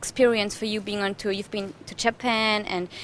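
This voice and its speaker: A woman speaks with a German accent. Her pitch is fairly high and her pace moderate. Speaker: TV presenter. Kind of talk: TV interview. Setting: TV show location in Mallorca.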